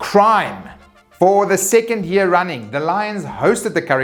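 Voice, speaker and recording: Over music in the background, a man talks at a moderate pace in a high pitch. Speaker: rugby commentator / vlogger. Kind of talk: casual talk to camera, weekly sports news roundup.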